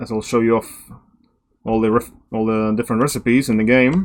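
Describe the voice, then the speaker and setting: A man talks with a non-native accent. His pitch sits in the medium range. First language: not English. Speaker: gaming video creator. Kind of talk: gameplay commentary. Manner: casual, somewhat halting.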